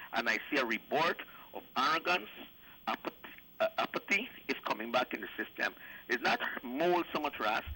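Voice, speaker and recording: At a moderate pace, a man with a bright, sharp tone and fairly high pitch speaks with lively intonation and long, frequent pauses. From Guyana. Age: 70s. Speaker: caller. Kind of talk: call-in political commentary. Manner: animated.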